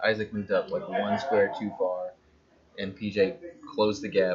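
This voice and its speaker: Amid noticeable background noise, a man with a fairly low pitch and ordinary pitch variation talks at a moderate pace. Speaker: tabletop game stream commentator. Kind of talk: live commentary.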